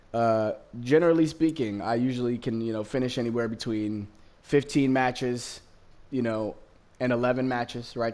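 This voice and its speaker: At a moderate pace, this voice carries fairly even intonation with a West Coast American accent. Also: man. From Los Angeles County, Southern California, US. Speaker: gaming streamer. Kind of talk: gameplay commentary. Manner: casual, many fillers.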